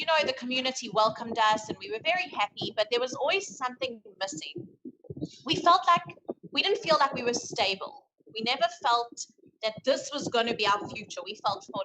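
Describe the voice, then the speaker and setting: With a South African accent, a woman speaks in a high voice that swings very widely in pitch. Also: big swings in loudness. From South Africa, Johannesburg area. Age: 30s. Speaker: guest. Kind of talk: casual chat. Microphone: phone mic picks up rustle.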